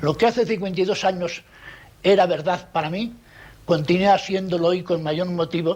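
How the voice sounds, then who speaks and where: At a moderate pace, a man speaks in a high voice with fairly even intonation. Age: 70s. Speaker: documentary presenter, journalist. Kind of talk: testimony. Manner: formal.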